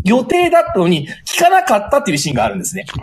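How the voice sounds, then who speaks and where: Through noticeable background noise, a man's extremely high voice swings very widely in pitch. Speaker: teacher. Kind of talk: book review. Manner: heated, indignant.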